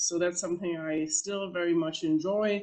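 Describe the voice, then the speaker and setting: At a moderate pace, a woman with a German accent speaks in a fairly low pitch and fairly even intonation. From Germany. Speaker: professor. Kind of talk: panel talk. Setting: panel presentation with slides. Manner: halting, many fillers.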